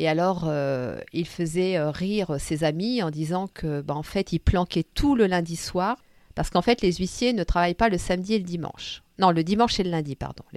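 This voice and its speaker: A woman with a plain, everyday voice speaks at a moderate pace with hardly any pauses and ordinary pitch variation, in a very clean recording, silent background and a dry, close sound with no echo. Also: fairly low pitch for a woman. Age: 50s. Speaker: podcast host and storyteller. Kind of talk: personal storytelling. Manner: warm, gentle.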